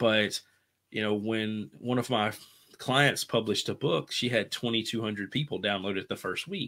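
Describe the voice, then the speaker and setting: Bright, sharp tone in a Louisiana accent, at a moderate pace with ordinary pitch variation. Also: man, medium pitch for a man. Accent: Southern US (Louisiana). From US South, Louisiana countryside near Bossier City. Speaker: physical therapist and self-publishing author. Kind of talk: casual interview, personal story. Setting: livestreamed video call from home.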